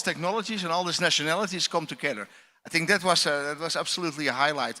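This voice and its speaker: A man with a Dutch accent talks at a very fast pace with a fairly high pitch, a bright, sharp tone, and ordinary pitch variation. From Netherlands. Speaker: astronaut. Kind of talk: panel discussion.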